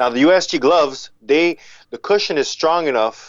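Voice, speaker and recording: A man speaks with a French accent. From Montreal and Africa (Ivory Coast). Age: 40s. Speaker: professional boxer. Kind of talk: casual chat.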